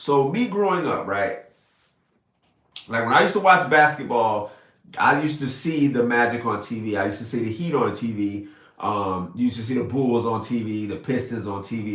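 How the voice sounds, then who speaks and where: Talking at a fairly quick pace, a man with a Florida accent sounds animated, with lively intonation and a medium pitch. Audible room echo surrounds his voice. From South Florida. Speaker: live streamer. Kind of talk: casual live stream chat. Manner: animated, casual.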